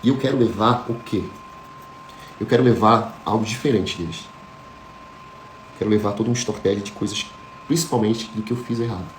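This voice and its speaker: Mid-pitched male speech at an even, moderate tempo, with clear background noise and some audible room echo. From Florianópolis, Brazil. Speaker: motivational speaker. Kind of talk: motivational talk.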